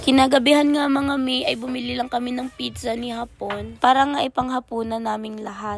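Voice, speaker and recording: With music in the background, a woman with a high voice speaks at a fairly quick pace and with fairly even intonation. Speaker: family vlogger. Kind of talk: vlog narration.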